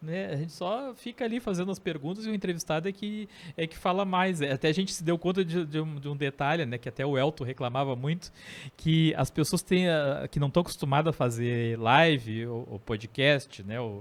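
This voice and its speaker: In a very clean recording with a silent background, a man with a Rio Grande do Sul accent talks at a moderate pace in a fairly high voice. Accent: gaúcho. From southern Brazil (Rio Grande do Sul). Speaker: podcast host. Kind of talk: casual chat.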